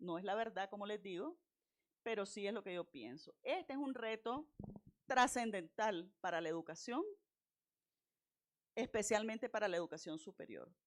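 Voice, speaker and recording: Animated and at a moderate pace, a woman speaks at a fairly high pitch with very wide pitch swings, big swings in loudness and long, frequent pauses. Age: 60s. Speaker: university lecturer / invited speaker. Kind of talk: lecture.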